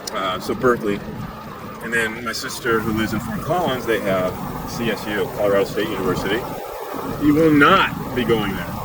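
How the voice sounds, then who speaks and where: Audible room echo and noticeable background noise surround a relaxed, fairly quick delivery with lively intonation and long, frequent pauses. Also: man, medium pitch for a man. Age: 60s. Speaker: e-bike vlogger. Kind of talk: casual ride-along vlog narration. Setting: outdoors on an e-bike. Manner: relaxed, meandering.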